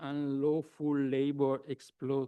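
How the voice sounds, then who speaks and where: A man's fairly high-pitched voice with a dark, mellow tone against a quiet background. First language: German. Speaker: law professor. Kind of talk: academic conference talk. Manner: halting, many hesitations.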